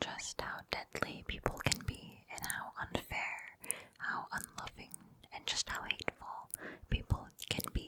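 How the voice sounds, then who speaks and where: Noticeable background noise surrounds a woman who whispers at a fairly slow pace. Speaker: ASMR creator. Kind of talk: casual rambling book review. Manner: whispered.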